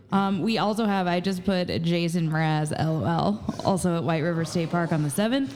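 A woman with an American accent talks at a moderate pace with a fairly low pitch and very even loudness. Background noise is noticeable, and the room has an audible echo. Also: ordinary pitch variation. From Southern Indiana, Jasper. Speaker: assistant producer and co-host. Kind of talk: casual chat. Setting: live recording in a tap room.

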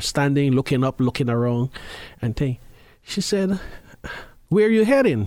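His pitch swings very widely from moment to moment. The man keeps to a moderate pace. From Guyana. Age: 50s. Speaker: formerly homeless person. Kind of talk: interview. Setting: studio.

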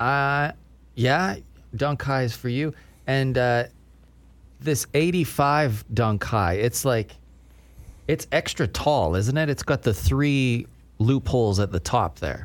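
A man's medium-pitched voice at a very slow pace, with long, frequent pauses and lively intonation. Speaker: podcast host. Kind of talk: casual chat.

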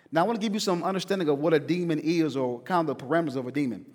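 Talking at a very fast pace, a man with an American accent makes very wide pitch swings. The recording is very clean, with a silent background. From US South. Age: 30s. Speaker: pastor. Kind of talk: sermon. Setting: church. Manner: animated.

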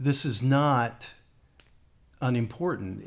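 At a very slow pace, a man talks with an American accent and ordinary pitch variation. His voice is somewhat breathy. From West Virginia. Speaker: lead pastor. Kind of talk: podcast interview.

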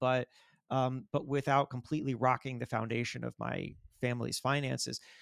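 A man with a fairly high pitch talks fairly quickly in an ordinary speaking voice with an American accent. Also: dry, close sound with no echo. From Florida. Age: 40s. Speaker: magazine editor and author. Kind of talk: interview. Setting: remote call.

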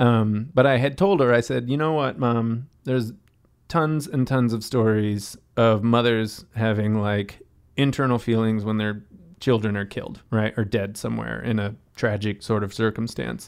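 In a plain, everyday voice, a man with an American accent speaks at a moderate pace and medium pitch with ordinary pitch variation, on a very clean recording with a silent background. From western Massachusetts, US. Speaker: hostel owner and sustainability NGO founder. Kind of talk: casual chat.

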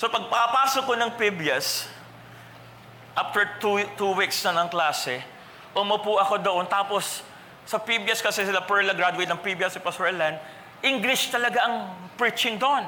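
A man's raised, projected voice, high in pitch with ordinary pitch variation, animated and fairly slow, with audible room echo and noticeable background noise. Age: 40s. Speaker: pastor. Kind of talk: sermon. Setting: church.

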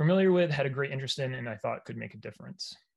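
The recording of this man is very clean, and the background is completely silent. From Maine, US. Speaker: hazing prevention researcher. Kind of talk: interview.

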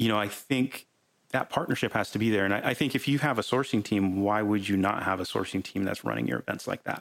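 Speaking at a very fast pace with vocal fry, a man keeps his loudness very even. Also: fairly low pitch for a man, ordinary pitch variation. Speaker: podcast host. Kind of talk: casual chat. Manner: informal, filler words, repeats words.

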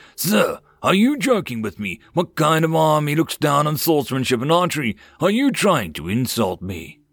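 A man uses a put-on character voice with big pitch swings at a fairly high pitch. His tone is fairly bright with a slightly husky edge. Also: moderate pace.

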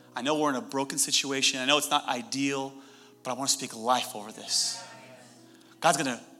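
Over music in the background, a man with a fairly high pitch speaks in an animated tone at a fairly quick pace, broken by long, frequent pauses. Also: ordinary pitch variation. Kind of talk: sermon. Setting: church with live audience. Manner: animated, loud, fervent preacher in full flow, urgent and rousing.

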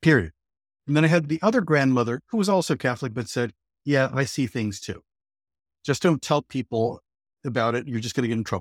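A man with an American accent and a plain, everyday voice speaks fairly quickly at medium pitch with lively intonation, in a very clean, dry, close recording with a silent background and no echo. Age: 60s. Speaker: author and astrologer. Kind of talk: interview.

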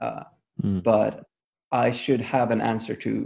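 The speaker is a man. He talks with a Swedish accent. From Sweden. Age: 30s. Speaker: movement coach. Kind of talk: casual chat. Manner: halting.

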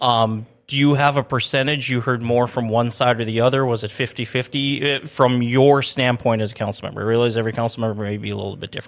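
A man with an American accent at a very fast pace, medium in pitch, with fairly even intonation and hardly any pauses. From Minnesota. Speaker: city public information officer, podcast host. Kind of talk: casual interview chat. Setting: studio.

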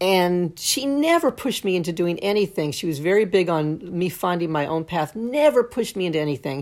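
In a very clean recording with a silent background, a woman with a fairly low voice talks in a plain, everyday voice and lively intonation. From Brooklyn, New York. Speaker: songwriter and lyric writing teacher. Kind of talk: casual chat.

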